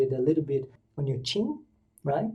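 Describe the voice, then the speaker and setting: A man's fairly high voice, dark and mellow, with a somewhat breathy quality. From Brazil. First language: Portuguese. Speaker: English exam coach. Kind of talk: tutorial. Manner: casual, with hesitations.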